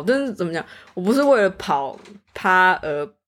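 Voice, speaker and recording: Her intonation stays lively throughout. The woman speaks at a fairly slow pace. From Taiwan. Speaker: student. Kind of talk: casual chat.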